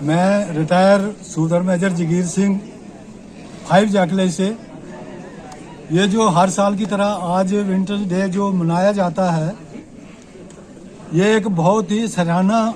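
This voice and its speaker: A man speaks at a high pitch with monotone, flat intonation and long, frequent pauses. Audible room echo and noticeable background noise are present. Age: 70s. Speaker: army veteran. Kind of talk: press interview.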